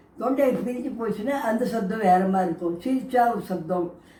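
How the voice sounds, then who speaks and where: There is audible room echo and noticeable background noise as a woman speaks with lively intonation. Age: 70s. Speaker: grandmother vlogger. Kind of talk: casual talk to camera. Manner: conversational, with false starts.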